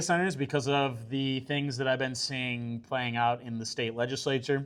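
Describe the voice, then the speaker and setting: Moderate pace from a man, very clean recording, silent background. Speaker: scientist and political candidate. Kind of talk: public presentation. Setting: community meeting with audience. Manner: loud; hesitant, many fillers.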